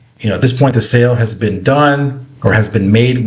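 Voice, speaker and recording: A man rattles through his words at a very fast pace, intonation staying fairly even. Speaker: sales and marketing coach; online marketing instructor. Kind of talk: screen-share tutorial. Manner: casual, with fillers.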